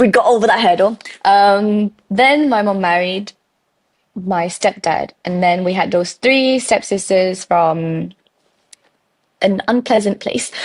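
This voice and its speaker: With long, frequent pauses, a woman speaks very slowly at a medium pitch, her pitch varying in an ordinary way. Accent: British. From Malaysian raised in the UK. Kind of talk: podcast interview answer. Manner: bubbly.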